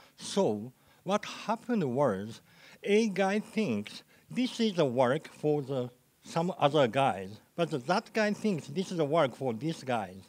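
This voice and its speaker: Very wide pitch swings at a very slow pace. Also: man, fairly high pitch for a man. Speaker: program manager. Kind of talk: conference talk. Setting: stage with audience. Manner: halting. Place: hall.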